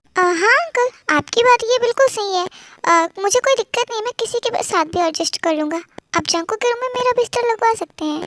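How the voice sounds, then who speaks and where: A woman in a put-on character voice, very fast, extremely high-pitched, with lively intonation. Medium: read story. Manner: smug, flirtatious.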